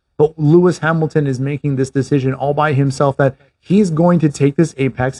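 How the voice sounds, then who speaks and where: Recorded dry and close with no echo, a man speaks at a fairly quick pace in a fairly high, somewhat breathy voice with a dark, mellow tone and fairly even intonation. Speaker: podcast host. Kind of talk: race commentary, play-by-play retelling of a past race as a picture for listeners. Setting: Canada. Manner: vivid, scene-painting.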